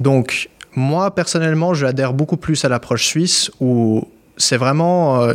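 A man with a normal speaking voice talks at a fairly slow pace, using a fairly high pitch and ordinary pitch variation. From Switzerland (born Kyiv, Ukraine). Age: 20s. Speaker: LinkedIn business coach, entrepreneur. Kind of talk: casual interview chat.

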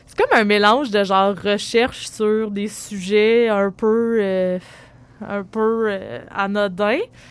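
Very slowly and with fairly even intonation, a woman speaks with a Quebec accent. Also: medium pitch for a woman. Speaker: writer and performer. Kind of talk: interview. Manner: halting.

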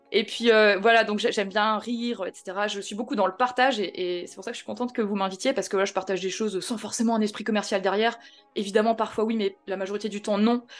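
Over music in the background, a woman talks at a very fast pace in a fairly high pitch. Her intonation is monotone and flat, while her loudness swings widely. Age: 30s. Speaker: real estate investor and trainer. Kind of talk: casual interview.

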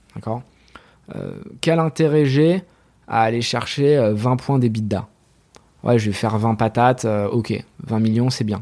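At a very slow pace with long, frequent pauses, a man talks in a dark, mellow tone at a medium pitch with ordinary pitch variation. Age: 30s. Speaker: entrepreneur. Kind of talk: casual interview. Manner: animated.

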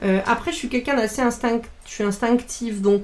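A plain, everyday voice from a woman, fairly high in pitch, with ordinary pitch variation and a fairly quick pace. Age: 40s. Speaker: communications director, former journalist. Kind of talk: casual interview. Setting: at her home.

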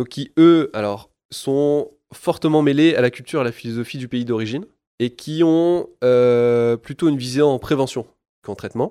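A man's dark, mellow tone at a medium pitch and moderate pace, with ordinary pitch variation, in a very clean recording with a silent background. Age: 30s. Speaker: sports product engineer, former physiotherapist. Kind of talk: expert interview.

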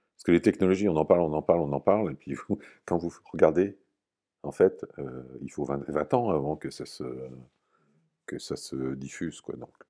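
A man speaks at a moderate pace in a very deep, low voice with a dark, mellow tone, vocal fry and ordinary pitch variation. His loudness swings widely, and he takes long, frequent pauses. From Normandy, France. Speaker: company founder, physicist. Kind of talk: interview testimony. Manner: halting, frequent hesitations.

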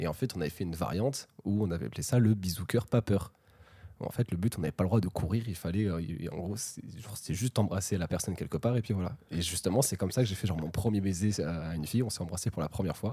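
A somewhat breathy voice with a dark, mellow tone races along at a very fast pace with ordinary pitch variation. The recording is very clean, with a silent background. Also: man, very deep, low pitch for a man. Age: 20s. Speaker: podcast guest. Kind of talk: casual chat. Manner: halting.

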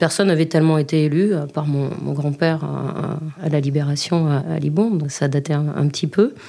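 A woman with a very deep, low pitch and fairly even intonation, amid noticeable background noise. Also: moderate pace. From Libourne, Gironde, southwest France. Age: 40s. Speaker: regional councillor and former lecturer. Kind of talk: interview testimony. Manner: halting, with repeated words.

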